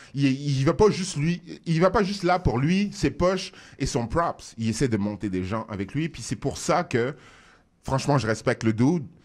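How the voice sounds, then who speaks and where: A man's fairly high, animated voice at a moderate pace, with very wide pitch swings, on a very clean recording with a silent background. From France, Paris suburbs (Seine-Saint-Denis). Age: 40s. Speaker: rapper. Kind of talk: radio interview. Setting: radio studio.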